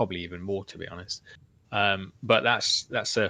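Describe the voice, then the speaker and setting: A man's bright, sharp voice with a fairly low pitch and a flat, monotone delivery, in an English accent at a moderate pace. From England. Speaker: open-source flight controller software developer. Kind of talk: casual chat.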